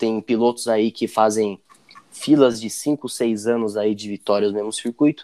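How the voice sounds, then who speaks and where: A man talks at a fairly slow pace with a dark, mellow tone. His intonation stays fairly even, and the sound is dry and close with no echo. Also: medium pitch for a man. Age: 20s. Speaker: sports podcast host. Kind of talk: casual chat.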